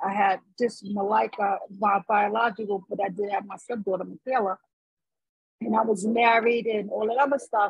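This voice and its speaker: This woman's somewhat breathy voice sits at a medium pitch, moving at a moderate pace with flat, monotone intonation. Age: 50s. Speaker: podcast co-host. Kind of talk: casual chat. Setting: outdoors.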